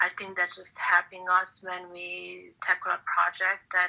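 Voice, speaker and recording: With a Hungarian accent, a woman talks very slowly at a medium pitch in a bright, sharp tone. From Hungary. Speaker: artist and visual content expert. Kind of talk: interview. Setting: online audio room. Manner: hesitant, many fillers.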